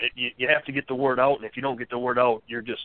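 A man with an American accent talks at a very fast pace in a medium pitch with monotone, flat intonation. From South Bend, Indiana. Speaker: union plant worker caller. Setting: phone call.

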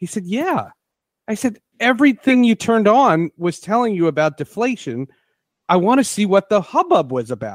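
In a very clean recording with a silent background and a dry, close sound with no echo, a man with a high voice talks at a moderate pace with very wide pitch swings. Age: 40s. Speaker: sports podcast host. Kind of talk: interview.

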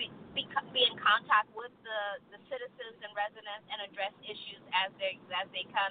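Her voice is a plain, everyday voice, fairly high in pitch. The woman speaks at a fairly slow pace. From Texas. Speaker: city mayor. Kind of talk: radio interview. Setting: studio.

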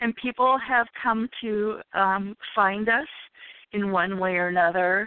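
This woman talks very slowly, her medium pitch shifting by an ordinary amount. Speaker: event organizer. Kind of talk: interview. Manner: halting, many fillers.

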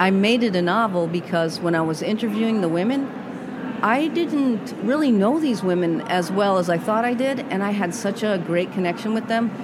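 Talking at a moderate pace with an American accent, a woman of medium pitch uses lively intonation at very even loudness, with audible room echo and noticeable background noise. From Massachusetts. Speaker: retired fire captain and author. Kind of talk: interview. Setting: podcast booth at a busy conference.

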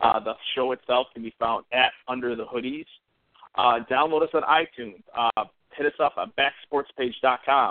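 In an unremarkable speaking voice, a man talks at a moderate pace with fairly even intonation. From Central New York. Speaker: sports podcast co-host. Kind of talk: casual chat.

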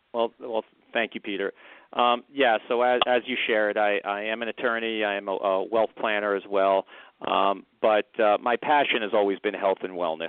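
Fairly low male voice at a moderate pace, the intonation fairly even. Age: 50s. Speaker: company founder, attorney. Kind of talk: radio interview. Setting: live radio show. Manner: halting, many fillers.

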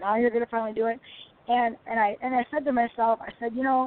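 A woman with an American accent, a plain, everyday voice, fairly high in pitch and fairly quick in pace. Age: 50s. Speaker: retired women's football player. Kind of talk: interview.

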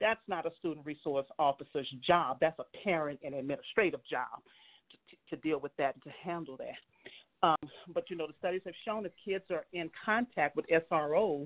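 A woman talks in a normal speaking voice, fairly low in pitch with ordinary pitch variation and big swings in loudness. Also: moderate pace. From US South, New Orleans, Louisiana. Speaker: state legislator. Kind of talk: casual conversational interview.

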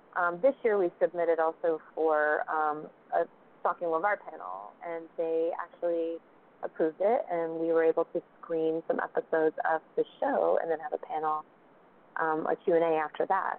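With an American accent, a woman talks in a plain, everyday voice at a fairly low pitch, a moderate pace and ordinary pitch variation. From South Carolina. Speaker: web series creator and actress. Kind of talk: casual interview chat.

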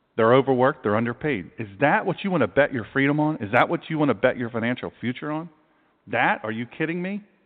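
The speaker talks at a very fast pace in a Southern US accent. The tone is animated and the intonation lively. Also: man, medium pitch for a man. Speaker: pastor and talk radio host. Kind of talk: talk radio monologue. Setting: internet radio broadcast.

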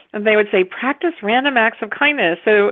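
Lively intonation marks this woman's fairly high-pitched voice. It is an unremarkable speaking voice with an American accent. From US, West Virginia. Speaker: author and publisher. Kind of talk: casual interview chat.

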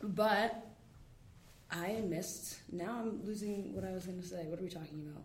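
With audible room echo around her, a woman with an American accent speaks at a medium pitch. Her pace is moderate and her intonation fairly even. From New York City, Manhattan. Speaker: professional soccer player. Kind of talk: casual interview. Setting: campus studio with small audience.

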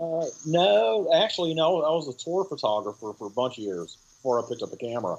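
Lively intonation marks this man's fairly quick delivery. He has an ordinary speaking voice. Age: 50s. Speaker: film director and music photographer. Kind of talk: interview. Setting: remote call.

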